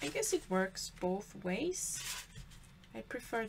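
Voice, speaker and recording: A woman with a Swedish accent speaks at a fairly slow pace and medium pitch, with noticeable background noise behind her. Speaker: papercraft creator. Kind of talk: tutorial. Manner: halting.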